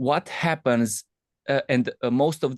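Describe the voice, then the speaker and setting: Against a quiet background, a man with a non-native accent speaks at a fairly slow pace, the sound dry and close with no echo. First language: not English. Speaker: trader attending a boot camp. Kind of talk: question in live Q&A. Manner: halting.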